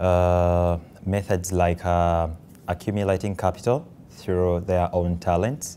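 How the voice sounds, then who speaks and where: A man with a Ugandan accent speaks at a fairly slow pace in a very deep, low pitch. His tone is dark and mellow, and his intonation is monotone and flat. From Kampala, Uganda. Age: 20s. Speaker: social entrepreneur. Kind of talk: interview answer.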